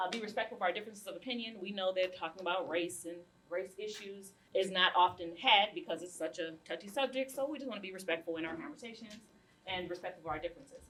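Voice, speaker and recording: Talking very fast with big swings in loudness, a woman uses a medium pitch, ordinary pitch variation and a bright, sharp tone. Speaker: community group chair and facilitator. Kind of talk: panel discussion facilitation.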